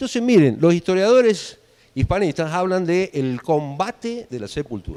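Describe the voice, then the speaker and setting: At a moderate pace, a man with a high pitch and a dark, mellow tone speaks with very wide pitch swings. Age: 50s. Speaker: guest lecturer. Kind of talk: lecture.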